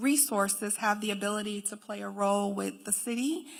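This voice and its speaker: An American accent marks this woman's ordinary speaking voice. She talks at a moderate pace with ordinary pitch variation. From Syracuse, New York. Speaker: philanthropy executive. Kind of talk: panel discussion.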